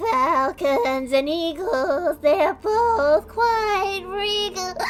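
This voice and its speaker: Clear music plays in the background as a put-on character voice speaks at a very slow pace and an extremely high pitch. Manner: shy, hesitant.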